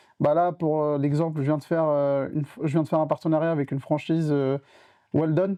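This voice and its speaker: At a very fast pace, a man speaks in a flat monotone at a fairly high pitch. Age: 20s. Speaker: entrepreneur. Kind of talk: casual interview.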